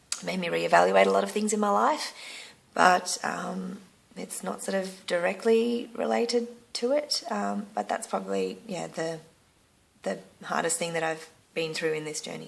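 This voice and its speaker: A woman talks at a moderate pace. She has an Australian accent. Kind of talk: casual talk to camera. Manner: hesitant, frequent filler words.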